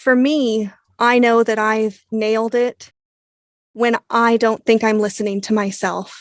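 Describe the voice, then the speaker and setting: A woman's fairly high voice comes through dry and close, with no echo. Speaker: audiobook narrator and producer. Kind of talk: interview.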